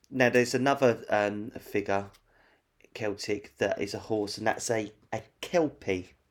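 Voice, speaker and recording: A man talks at a fairly slow pace and a fairly low pitch with ordinary pitch variation. It is an unremarkable speaking voice. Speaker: podcast host. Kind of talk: casual chat. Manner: chatty, informal.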